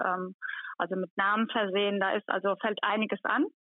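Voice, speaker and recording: A woman speaks at a moderate pace. She has an unremarkable speaking voice. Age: 40s. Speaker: head of hospital housekeeping. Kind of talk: interview. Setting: phone call.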